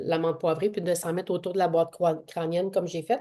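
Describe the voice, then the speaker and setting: Using a dark, mellow tone, a woman with a Quebec accent speaks with fairly even intonation. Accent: Québécois French. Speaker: essential oils workshop presenter and fitness trainer. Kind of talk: online workshop presentation.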